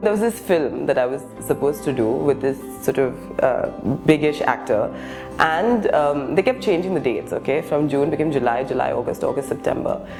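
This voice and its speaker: Music in the background behind a woman talking at a fairly quick pace. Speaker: actor and stand-up comedian. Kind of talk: interview answer.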